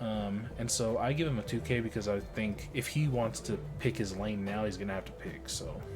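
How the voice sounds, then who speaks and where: Speech with lively intonation moves at a moderate pace with hardly any pauses. Music plays in the background, and room echo is audible. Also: man, fairly low pitch for a man. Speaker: card game player and content creator. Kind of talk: gameplay voiceover commentary. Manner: casual, filler-heavy.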